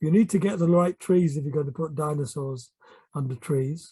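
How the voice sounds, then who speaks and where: A man talks at a fairly slow pace in a fairly high voice. His tone is dark and mellow and somewhat breathy. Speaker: art teacher. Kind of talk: tutorial. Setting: at home.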